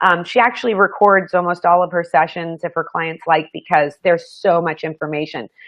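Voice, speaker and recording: This is an ordinary speaking voice at a fairly quick pace. There are hardly any pauses, and the pitch variation is ordinary. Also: woman, fairly low pitch for a woman. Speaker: show host and psychic. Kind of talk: live show chat.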